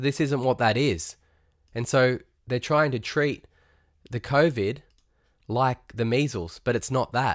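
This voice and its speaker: A man with a medium pitch speaks at a fairly slow pace, leaving long, frequent pauses, with ordinary pitch variation. The recording is very clean with a silent background. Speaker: podcast host. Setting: home or studio podcast recording, solo monologue. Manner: fired-up, indignant and sarcastic, stumbling over words as he rants; animated, mixing laughter with scorn.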